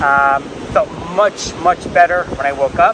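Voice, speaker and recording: Dry and echo-free but with noticeable background noise, a man speaks at a high pitch with ordinary pitch variation. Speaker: vlogger. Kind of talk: casual vlog chat. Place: beach. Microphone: lapel.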